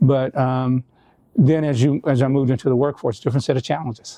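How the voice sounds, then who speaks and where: Against a quiet background, a man with an American accent speaks at medium pitch in a dark, mellow tone with monotone, flat intonation and a dry, close sound with no echo. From US South, North Louisiana. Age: 70s. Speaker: business owner. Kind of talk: interview. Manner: halting, many fillers and restarts.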